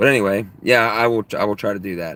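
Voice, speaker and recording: On a very clean recording with a silent background, a man speaks at a moderate pace in a fairly low pitch with fairly even intonation. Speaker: live streamer. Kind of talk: live stream chat. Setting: live stream. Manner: throat clearing.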